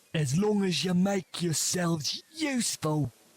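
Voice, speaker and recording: A put-on character voice from a man, high in pitch and at a fairly slow pace. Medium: video game. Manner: cold, threatening.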